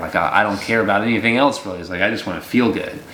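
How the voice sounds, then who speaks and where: A man's pitch varies in an ordinary way, with audible room echo and noticeable background noise around his speech. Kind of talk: casual devotional chat. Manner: relaxed conversational.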